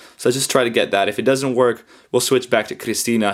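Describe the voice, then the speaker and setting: A man speaking at a very fast pace in a very clean recording with a silent background. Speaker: YouTuber reviewing an app. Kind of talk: tutorial. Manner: casual, with frequent fillers.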